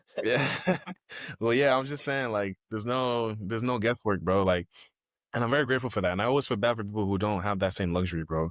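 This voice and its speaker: Speaking very fast in an American accent, a man has a fairly low pitch with ordinary pitch variation. The recording is very clean, with a silent background. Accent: Nigerian accent comes out when excited. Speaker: guest, real estate agent and educator. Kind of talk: casual chat. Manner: animated.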